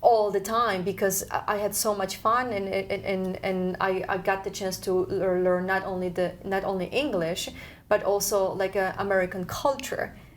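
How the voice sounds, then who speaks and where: With a Polish accent, a woman at medium pitch speaks at a fairly slow pace with fairly even intonation and hardly any pauses. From Poland. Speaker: community TV host. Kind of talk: casual talk show host.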